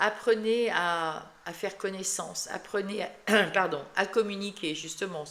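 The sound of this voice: A woman uses a hoarse, put-on character voice at a medium pitch and a moderate pace.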